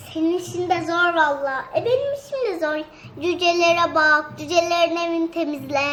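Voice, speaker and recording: Against clear background noise, a female-sounding put-on character voice reaches an extremely high pitch for a woman. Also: moderate pace. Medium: comedy sketch.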